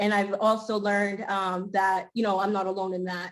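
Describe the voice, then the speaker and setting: A woman speaks with a Spanish accent. Her intonation is monotone and flat, and her pace is fairly quick. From Maine. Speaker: school committee candidate. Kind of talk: candidate forum speech.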